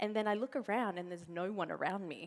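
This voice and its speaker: A woman with an Australian accent, animated in tone, medium in pitch, at a fairly quick pace. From Australia, to Uruguayan parents. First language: Spanish. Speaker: motivational speaker, network marketing partner. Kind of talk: conference keynote speech. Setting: stage with audience. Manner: animated storytelling.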